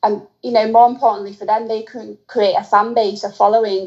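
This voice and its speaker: A woman's medium-pitched voice, an ordinary speaking voice, at a fairly quick pace. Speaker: personal trainer and fan. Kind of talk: casual interview chat.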